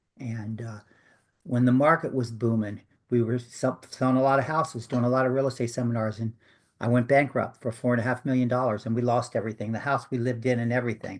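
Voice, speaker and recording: This man speaks at a very fast pace in a medium pitch. His intonation is fairly even. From US, western Maryland. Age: 60s. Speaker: author and hypnosis practitioner. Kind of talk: interview. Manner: halting.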